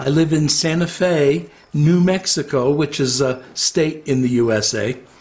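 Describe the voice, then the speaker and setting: Speaking with an American accent and lively intonation, the voice moves at a very slow pace. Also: man. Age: 60s. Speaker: retired psychotherapist. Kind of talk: interview. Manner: hesitant, with filler words.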